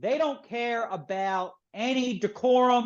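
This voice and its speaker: A man with a Philadelphia accent speaks very slowly in an extremely high pitch, his pitch varying in an ordinary way. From Philadelphia, US. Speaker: author and publisher. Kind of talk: interview. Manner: animated.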